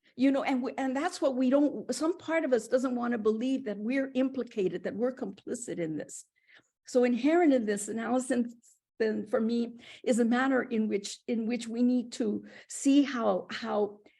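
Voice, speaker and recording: A woman with a high pitch and a dark, mellow tone talks at a moderate pace with ordinary pitch variation in a very clean recording with a silent background. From Puerto Rico. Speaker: professor. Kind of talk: academic dialogue. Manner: animated.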